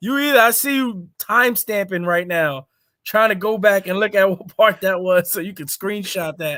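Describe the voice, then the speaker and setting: Raised and projected, the man's high voice has a bright, sharp, animated tone and ordinary pitch variation. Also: moderate pace, very clean recording, silent background. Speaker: pro wrestler. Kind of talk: casual chat.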